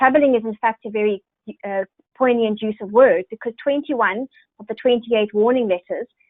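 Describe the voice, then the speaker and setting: A woman with a South African accent speaks at a fairly quick pace, using a fairly high pitch and fairly even intonation. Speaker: software sales executive. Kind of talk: webinar presentation. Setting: online webinar.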